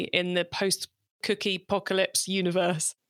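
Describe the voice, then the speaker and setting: A woman with a British accent speaks at a medium pitch and a fairly quick pace, her bright, sharp tone captured in a dry, close recording with no echo, very clean and against a silent background. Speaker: podcast host. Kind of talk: interview.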